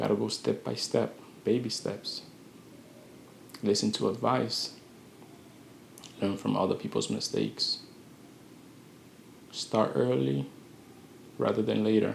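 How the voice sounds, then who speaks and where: Man at a fairly slow pace, with long, frequent pauses. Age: 20s. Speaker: vlogger giving life advice. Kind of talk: motivational monologue. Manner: slow and calculated; halting.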